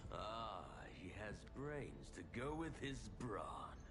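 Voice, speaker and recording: Over loud background noise, a man performs a cartoonish character voice at a very slow pace. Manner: grandiose, menacing.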